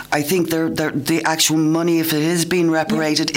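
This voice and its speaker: With an Irish accent, a woman speaks fairly quickly at a fairly low pitch over noticeable background noise. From Ireland. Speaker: environmental worker, radio panelist. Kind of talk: radio panel discussion. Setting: radio studio.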